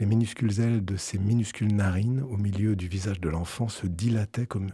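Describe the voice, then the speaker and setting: At a moderate pace, a man with a fairly low pitch and a dark, mellow, somewhat breathy tone speaks with fairly even intonation, the recording very clean with a silent background and a dry, close sound with no echo. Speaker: radio music programmer. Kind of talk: personal audio essay and studio discussion. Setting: radio studio.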